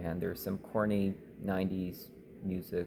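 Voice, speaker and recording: A man speaks with a very deep, low pitch and a dark, mellow tone. His intonation is monotone and flat. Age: 30s. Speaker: vlogger. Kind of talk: personal vlog monologue. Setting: public place. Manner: halting.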